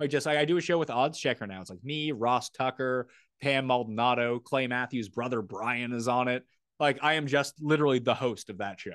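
A man talks at a fairly quick pace with a medium pitch, ordinary pitch variation and an unremarkable speaking voice. His loudness swings widely, and the sound is dry and close with no echo. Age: 30s. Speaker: sports betting and fantasy content creator. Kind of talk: casual chat.

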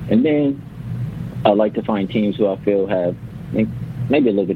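Noticeable background noise runs under a man with an American accent. He speaks at a moderate pace in a fairly low voice with lively intonation. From Los Angeles. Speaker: NBA betting analyst. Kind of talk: radio interview.

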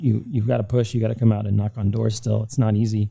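A man with an American accent rattles along at a very fast pace, his fairly low voice dark, mellow and somewhat breathy with monotone, flat intonation. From Miami, Florida. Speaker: graffiti artist. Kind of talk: casual interview.

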